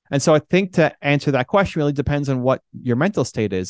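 A man talks at a fairly quick pace in a dry, close sound with no echo. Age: 40s. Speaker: entrepreneur and speaker. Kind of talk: interview. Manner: animated.

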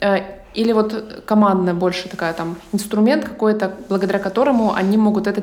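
A woman of medium pitch speaks at a fairly quick pace with fairly even intonation, over noticeable background noise and audible room echo. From Ukraine. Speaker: podcast host and producer. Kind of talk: casual interview. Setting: remote call.

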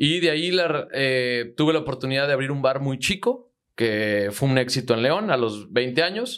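This man has a normal speaking voice at medium pitch, talking at a moderate pace with ordinary pitch variation and hardly any pauses. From Mexico, Zitácuaro, Michoacán. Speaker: agricultural marketer and entrepreneur. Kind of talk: casual interview. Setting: studio.

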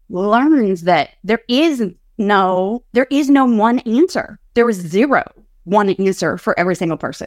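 With an American accent, a woman in an unremarkable speaking voice talks at a fairly high pitch with lively intonation, recorded with a dry, close sound and no echo. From US. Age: 40s. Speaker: ADHD coach. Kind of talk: live training and Q&A.

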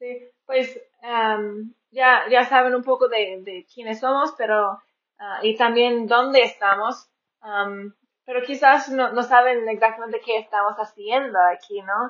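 This woman speaks very slowly in an American accent, her pitch fairly high and her intonation fairly even. Her volume rises and falls in big swings. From rural northern US. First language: English (speaking Spanish). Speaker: missionary podcaster. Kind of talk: casual chat. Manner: halting.

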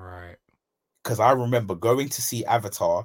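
The recording is very clean, with a silent background. A man with a British accent speaks at a medium pitch. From UK. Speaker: podcast co-host. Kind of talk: casual chat.

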